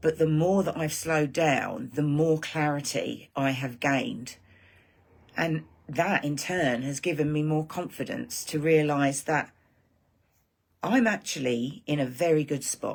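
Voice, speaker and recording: A woman with an English accent speaks at a fairly slow pace. Her pitch is very deep and low, with ordinary pitch variation. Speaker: online marketing creator. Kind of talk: live stream monologue. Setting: live stream. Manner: animated.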